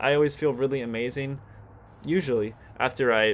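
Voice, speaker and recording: Speaking at a fairly quick pace, this man has a medium pitch. His intonation is fairly even. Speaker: vlogger. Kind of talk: casual monologue. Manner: fast; halting, repeats words.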